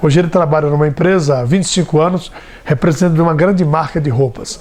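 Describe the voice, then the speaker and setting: Against noticeable background noise, a man talks at a fairly high pitch with ordinary pitch variation. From Brazil, São Paulo state interior. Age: 60s. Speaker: radio broadcaster and politician. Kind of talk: interview testimony. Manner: conversational, with fillers and hesitations.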